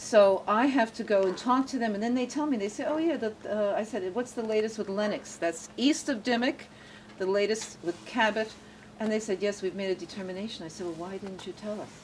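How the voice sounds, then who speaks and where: A woman talks at a fairly quick pace in a fairly high pitch. Her pitch variation is ordinary, and noticeable background noise sits behind her. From born in Germany to refugee parents, raised in US from about age 7. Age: 60s. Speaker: local activist and tour guide. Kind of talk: casual conversation on a guided tour.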